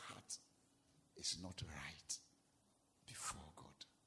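A man with a Ghanaian accent, bright, sharp tone and very slow pace. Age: 40s. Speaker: pastor. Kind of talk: sermon. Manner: animated.

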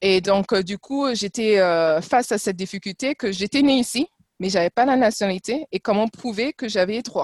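Heard dry and close with no echo, a normal speaking voice moves at a moderate pace with ordinary pitch variation. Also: woman, fairly high pitch for a woman. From France and Trinidad. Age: 40s. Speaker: former corporate ambassador. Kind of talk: casual interview. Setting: video call.

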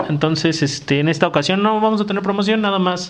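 This man speaks with ordinary pitch variation. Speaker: podcast host. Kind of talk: casual chat.

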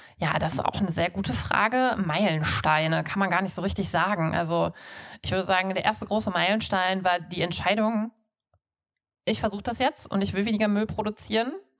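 The woman speaks at a medium pitch and a fairly quick pace. Her pitch varies in an ordinary way. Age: 30s. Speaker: podcast host, zero-waste enthusiast. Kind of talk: interview. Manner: hesitant with many fillers.

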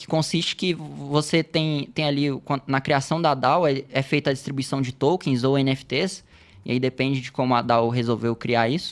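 A man with a normal speaking voice, pitched fairly high, talks at a moderate pace with fairly even intonation. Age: 20s. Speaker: software developer, crypto guest expert. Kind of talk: casual podcast interview. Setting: studio.

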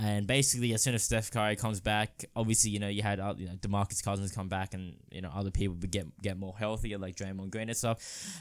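A very fast pace in an Australian accent on a very clean recording with a silent background. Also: man. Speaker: sports podcaster. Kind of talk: casual solo commentary.

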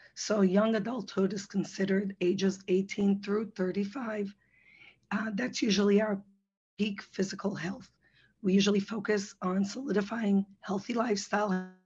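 A somewhat breathy woman's voice at medium pitch, with flat, monotone intonation. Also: moderate pace. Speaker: physician assistant, nutrition presenter. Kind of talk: webinar presentation.

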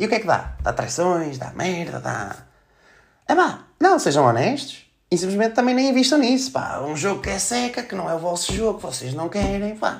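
Animated in tone, a man speaks at a moderate pace with a high pitch and very wide pitch swings. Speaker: podcast host. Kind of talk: casual monologue.

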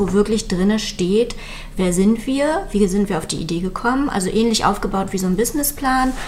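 Noticeable background noise and audible room echo accompany a woman who speaks at a moderate pace. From Mecklenburg-Western Pomerania, Malchin. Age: 30s. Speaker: small business founder, caregiver. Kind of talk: interview.

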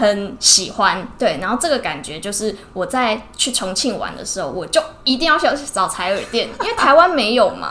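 In a Taiwanese accent, the speaker goes at a moderate pace with very wide pitch swings and big swings in loudness, over music in the background and audible room echo. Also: woman, fairly high pitch for a woman. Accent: Taiwanese Mandarin. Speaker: ear-cleaning shop owner, entrepreneur. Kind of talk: casual interview. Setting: in her shop.

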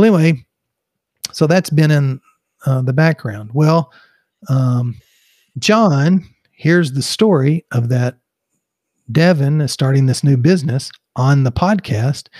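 A man with a Texas accent speaks at a fairly high pitch and fairly slow pace, somewhat breathy, with long, frequent pauses in a dry, close sound with no echo. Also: ordinary pitch variation. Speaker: podcast co-host. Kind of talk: casual chat, humorous banter. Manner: slow, deliberate.

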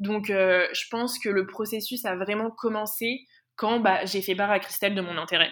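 In an ordinary speaking voice, a woman talks at a moderate pace and medium pitch with fairly even intonation. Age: 20s. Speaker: intern and master's student. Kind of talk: interview.

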